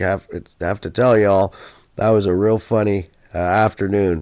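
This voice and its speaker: At a moderate pace, a man with a very deep, low pitch and a dark, mellow tone speaks with fairly even intonation. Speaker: storyteller. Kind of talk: personal anecdote told to camera. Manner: casual, folksy, hesitant.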